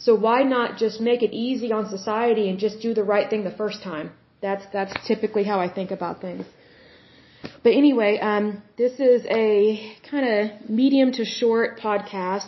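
An unremarkable speaking voice comes from a woman with an American accent, fairly high in pitch with fairly even intonation. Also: moderate pace. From Oklahoma. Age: 30s. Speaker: podcast host. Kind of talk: solo commentary reading from sources.

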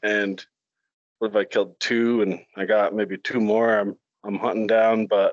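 A man speaks at a moderate pace in a normal speaking voice of medium pitch. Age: 40s. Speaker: deer hunter. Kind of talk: casual chat.

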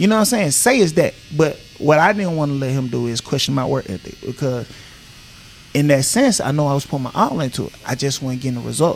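Someone with an American accent talks at a very fast pace with lively intonation. Noticeable background noise is present. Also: man, fairly high pitch for a man. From Griffin, Georgia (US South). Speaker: former NFL player and barber. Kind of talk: interview conversation. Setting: barbershop.

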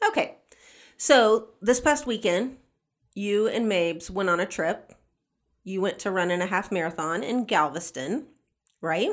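A woman with a Southern US accent talks at a fairly slow pace with lively intonation and a medium pitch, leaving long, frequent pauses in a very clean recording with a silent background. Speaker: podcast co-host. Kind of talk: casual chat.

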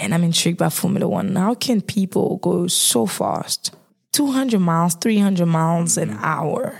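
With a normal speaking voice, a woman talks fairly slowly in a fairly low pitch. Her intonation is lively and her loudness very even. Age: 20s. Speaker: marketing graduate. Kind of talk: casual chat. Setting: studio.

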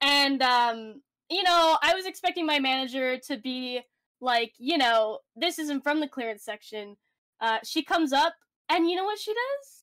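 On a very clean recording with a silent background, a woman with a Canadian accent talks at a moderate pace in a high pitch, with a bright, sharp tone and lively intonation. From Canada. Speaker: podcast co-host. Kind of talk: casual chat.

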